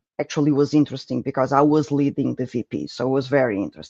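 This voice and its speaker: A man with a Portuguese accent has a dark, mellow tone. The sound is dry and close with no echo, against a quiet background. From Portugal. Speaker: project management speaker. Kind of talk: conference presentation.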